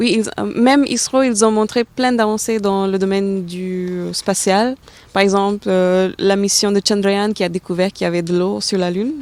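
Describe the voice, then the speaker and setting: A woman talks at a moderate pace, using a medium pitch and fairly even intonation. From India, Delhi. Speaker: aerospace engineer. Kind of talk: interview. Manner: halting, many hesitations.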